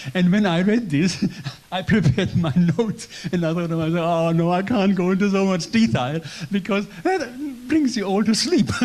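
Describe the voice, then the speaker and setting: A man with a German accent speaks at a moderate pace in a high pitch with lively intonation, against noticeable background noise. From German community in Poland. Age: 70s. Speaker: church guest speaker. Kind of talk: testimony. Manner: halting; gentle.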